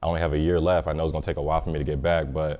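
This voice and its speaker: In an American accent, a man speaks at a very deep, low pitch. His intonation is monotone and flat. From US East Coast / South. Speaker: college basketball player. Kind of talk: interview.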